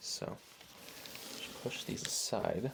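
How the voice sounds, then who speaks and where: Soft-spoken, a man talks. His pace is very slow. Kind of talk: soft-spoken ASMR unboxing.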